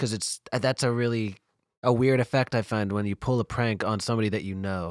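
Here a man has an ordinary speaking voice at a medium pitch with fairly even intonation. He talks at a fairly quick pace in a very clean recording with a silent background. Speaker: podcast co-host. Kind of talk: casual chat.

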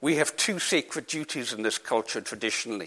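Speaking at a moderate pace in a Scottish Highlands and Islands accent, the voice has a bright, sharp tone and ordinary pitch variation on a very clean recording with a silent background. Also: man. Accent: Scottish Highland and Islands. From Isle of Lewis, Scotland. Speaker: author and land reform campaigner. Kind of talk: Q&A at a public talk. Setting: hall with audience, PA and hearing loop.

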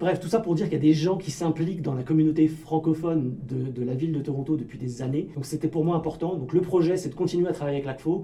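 With hardly any pauses, a man speaks at a very fast pace and a fairly high pitch, with ordinary pitch variation over noticeable background noise. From Paris region, France. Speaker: francophone community volunteer. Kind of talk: radio interview. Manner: halting, many repetitions.

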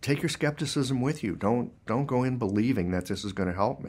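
A man in a normal speaking voice talks at a moderate pace with ordinary pitch variation, on a very clean recording with a silent background. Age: 60s. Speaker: acupuncturist and Chinese medicine practitioner. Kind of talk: interview conversation.

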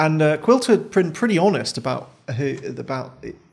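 A man's fairly high voice with vocal fry. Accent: British. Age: 20s. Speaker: podcast host. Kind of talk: interview. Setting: studio.

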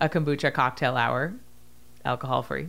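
On a very clean recording with a silent background, a woman speaks at a very deep, low pitch with vocal fry. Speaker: podcast host, author. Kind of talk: casual chat; promotional outro. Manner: clear, articulate.

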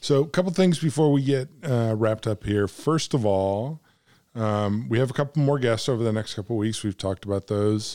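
Here a man speaks with an American accent in a dark, mellow tone. His pitch is medium with ordinary variation, and his pace is moderate. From United States. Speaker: podcast co-host. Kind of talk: casual chat. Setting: cigar shop.

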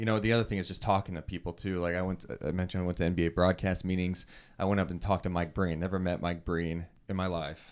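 Delivered at a very fast pace, the speech has an American accent and a flat, monotone intonation. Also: man, very deep, low pitch for a man, very clean recording, silent background. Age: 30s. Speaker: sports broadcaster. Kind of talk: casual interview.

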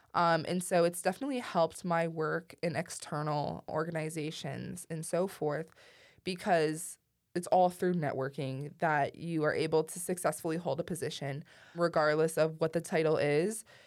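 A woman with an unremarkable speaking voice talks at a moderate pace and fairly low pitch, her intonation fairly even, on a very clean recording with a silent background. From Ohio, east of Cleveland. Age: 20s. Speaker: student government leader. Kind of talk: interview.

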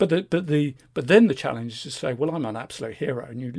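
Lively intonation and a somewhat breathy voice come through on a very clean recording with a silent background. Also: man. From England. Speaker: investment fund selector. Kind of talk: interview.

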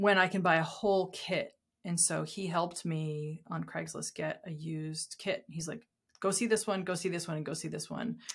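A woman with an American accent speaks in a somewhat breathy voice at a fairly low pitch, with fairly even intonation and a moderate pace. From US Northeast (southern New Hampshire). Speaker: designer and professor. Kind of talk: casual chat. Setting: host's house.

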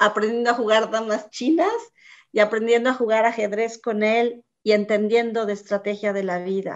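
Fairly even intonation marks an unremarkable speaking voice. The pace is moderate. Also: woman. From Mexico City. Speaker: business executive. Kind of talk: interview. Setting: video call.

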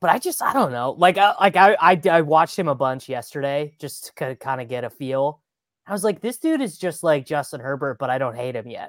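A man talks at a fairly quick pace in a fairly high voice with lively intonation, an unremarkable speaking voice. The recording is very clean with a silent background and a dry, close sound with no echo. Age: 30s. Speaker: fantasy football analyst. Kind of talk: casual chat.

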